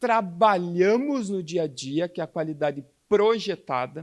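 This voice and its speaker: A man with a Curitiba accent speaks at a high pitch with lively intonation and a fairly slow pace. The recording is very clean, with a silent background. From Curitiba, southern Brazil. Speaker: healthcare quality speaker. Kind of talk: conference talk.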